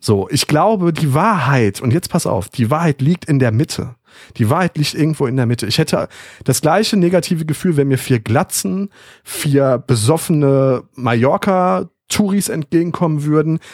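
A man speaks at a moderate pace and fairly high pitch with lively intonation and very even loudness, in a normal speaking voice, the sound dry and close with no echo. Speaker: podcast host. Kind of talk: casual chat.

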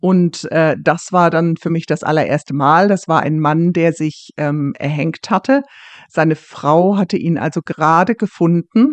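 At a fairly slow pace, a woman with an unremarkable speaking voice talks in a fairly low pitch with ordinary pitch variation. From Germany. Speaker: police officer. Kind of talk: interview. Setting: remote call.

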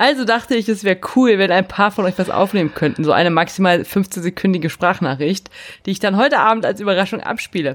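Using a normal speaking voice, a woman talks at a fairly quick pace. Her medium pitch carries lively intonation. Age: 30s. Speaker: podcast co-host. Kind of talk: casual chat.

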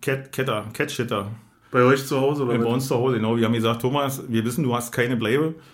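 A man of medium pitch speaks at a very fast pace with very even loudness and fairly even intonation, with audible room echo. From Berlin, Germany. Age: 40s. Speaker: podcast host. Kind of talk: casual chat. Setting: studio.

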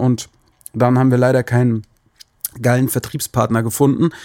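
The speaker is a man. His tone is dark and mellow. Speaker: musician and podcast host. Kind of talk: casual solo monologue. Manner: hesitant with many filler sounds.

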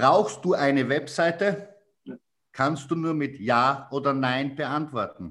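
Lively intonation comes through in a strong Styrian accent. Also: man. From Styria, Austria. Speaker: sales trainer. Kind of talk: casual chat.

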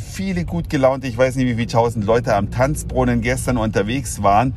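A man's moderately paced speech, with ordinary pitch variation, carries audible room echo and noticeable noise behind it. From Saxony, eastern Germany. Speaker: podcaster. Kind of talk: solo podcast monologue.

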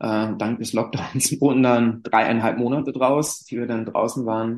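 A man with medium pitch and fairly even intonation uses an ordinary speaking voice. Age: 30s. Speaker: climbing therapist and school sports teacher. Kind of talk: interview.

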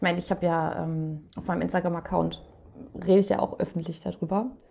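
A woman speaks at a fairly quick pace in a somewhat breathy voice, with a dark, mellow tone and fairly even intonation. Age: 30s. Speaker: guest with mental illness experience. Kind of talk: casual chat.

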